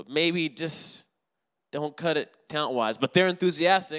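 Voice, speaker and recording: The man's high-pitched voice sounds animated, bright and sharp, in a very clean recording with a silent background. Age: 30s. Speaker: preacher. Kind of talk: sermon.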